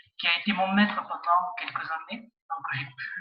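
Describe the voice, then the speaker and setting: This man's voice is high, and he speaks at a fairly slow pace. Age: 60s. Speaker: community centre director and amateur magician, jury member. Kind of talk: interview. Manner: hesitant, many fillers.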